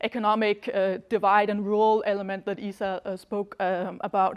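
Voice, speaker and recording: The recording is very clean, with a silent background. A woman speaks at a medium pitch with monotone, flat intonation. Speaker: academic researcher, Yemen expert. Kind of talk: lecture. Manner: fast; halting, many fillers and restarts.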